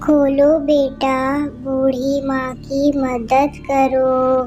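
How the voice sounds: A woman puts on a cartoonish character voice, high-pitched and monotone, flat in intonation, with clear background noise.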